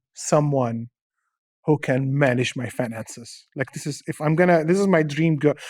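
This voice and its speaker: With an Arabic accent, a fairly high-pitched man speaks at a moderate pace in a dry, close recording with no echo. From Syria (born in Dubai). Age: 40s. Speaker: stand-up comedian. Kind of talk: casual interview chat. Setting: studio.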